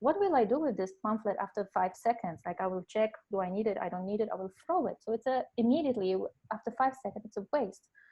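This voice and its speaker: A woman with a Polish accent races along at a very fast pace, her fairly high pitch carried by lively intonation. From Poland. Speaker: life coach. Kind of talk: webinar presentation. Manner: hesitant, many fillers.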